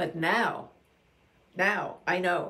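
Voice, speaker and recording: A woman's voice with a bright, sharp tone. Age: 80s+. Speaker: beauty vlogger for older women. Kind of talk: casual talk to camera. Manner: chatty, with hesitations and self-corrections.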